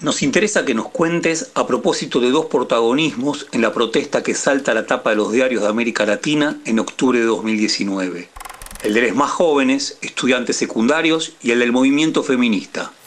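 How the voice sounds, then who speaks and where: Someone with an Argentine accent speaks at a moderate pace with very even loudness over noticeable background noise. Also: man, medium pitch for a man, ordinary pitch variation. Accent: Argentine Spanish (Rioplatense). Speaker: interviewer. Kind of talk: scripted interview questions. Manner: formal.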